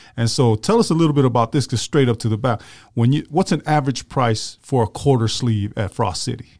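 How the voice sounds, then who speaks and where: At a fairly quick pace, a man talks in an ordinary speaking voice at medium pitch with ordinary pitch variation. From Tongan-American, West Valley. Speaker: podcast co-host. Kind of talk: casual interview.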